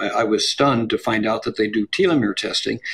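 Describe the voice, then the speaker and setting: There is noticeable background noise. Through it, a man speaks at medium pitch. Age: 70s. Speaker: longevity researcher. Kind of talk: interview. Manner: halting.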